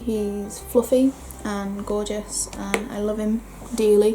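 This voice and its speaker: Noticeable background noise fills the recording. Over it, a woman speaks at a very slow pace. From northern England. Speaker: beauty vlogger. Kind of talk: casual chat. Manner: chatty.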